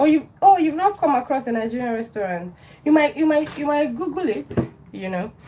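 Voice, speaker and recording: Over noticeable background noise, a woman talks at a high pitch and a fairly quick pace, her pitch swinging very widely. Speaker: cooking livestreamer. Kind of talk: live cooking stream, casual chat. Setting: home kitchen. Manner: chatty.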